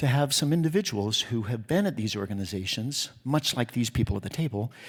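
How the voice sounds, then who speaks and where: An American-accented man speaks with lively intonation at a fairly quick pace. His voice sits at medium pitch and is somewhat breathy. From Utah. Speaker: theatre festival executive. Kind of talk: award acceptance speech. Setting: stage with audience. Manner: fast; animated.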